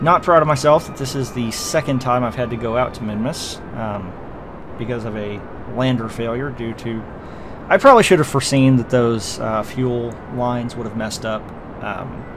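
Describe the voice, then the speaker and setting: Amid noticeable background noise and audible room echo, a man speaks at medium pitch with ordinary pitch variation and big swings in loudness. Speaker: video game commentator. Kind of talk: gameplay commentary. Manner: fast; casual with many fillers.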